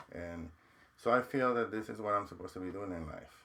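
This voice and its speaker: The pace of this man's speech is fairly quick. His pitch shows ordinary variation. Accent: Mexican. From Mexico. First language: Spanish. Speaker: counselor and professor. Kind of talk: interview.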